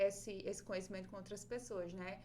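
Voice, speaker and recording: Speaking with a northeastern Brazilian accent, a woman uses a medium pitch, and room echo is audible. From Brazil, Northeast (Rio Grande do Norte, small town). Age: 20s. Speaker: paper craft artist and teacher, podcast host. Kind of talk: interview, casual chat.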